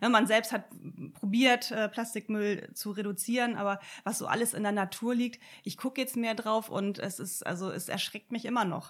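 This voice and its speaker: Speaking at a moderate pace with fairly even intonation, a woman with an unremarkable speaking voice and a fairly high pitch is heard in a very clean recording with a silent background. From northern Germany, Sylt. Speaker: environmental initiative organizer. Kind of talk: casual interview.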